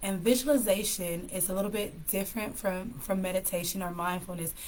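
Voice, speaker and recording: Audible room echo surrounds a woman speaking at a fairly quick pace with an American accent. Her medium-pitched voice is somewhat breathy and shows ordinary pitch variation. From California. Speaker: live stream host, mental health speaker. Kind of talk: casual live stream talk with tips. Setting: live stream.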